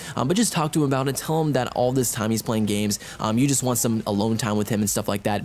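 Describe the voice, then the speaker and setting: Very fast speech with lively intonation over music in the background. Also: man. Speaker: gaming commentator. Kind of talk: gameplay commentary, advice talk. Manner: casual, hesitant.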